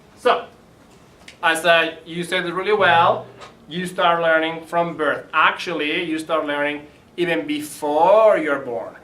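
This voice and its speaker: Over noticeable background noise and audible room echo, a man with a Spanish accent speaks very slowly in a high voice with fairly even intonation. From Spain. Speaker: library early learning educator. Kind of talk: presentation to parents. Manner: casual, conversational.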